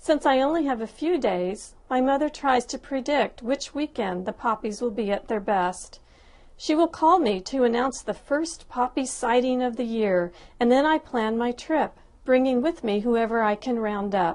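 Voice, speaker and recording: A woman speaks at a moderate pace. Her voice is high, and her intonation is lively. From Southern California (Lancaster, Antelope Valley). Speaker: personal essay writer. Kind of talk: reading aloud a personal essay.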